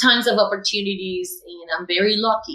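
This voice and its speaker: At a moderate pace, a woman talks in a Cuban accent. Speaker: educator. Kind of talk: interview testimony. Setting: podcast.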